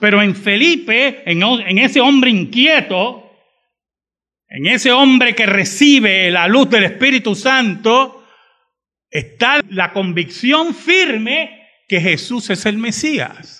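The raised, projected voice moves at a very slow pace, bright and sharp in tone, with lively intonation. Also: man, high pitch for a man. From Puerto Rico (San Juan, raised in Bayamón). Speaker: pastor. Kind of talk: sermon.

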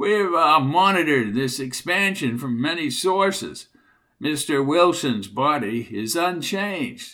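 A man's squeaky put-on character voice, fairly high-pitched, with very wide pitch swings at a fairly slow pace.

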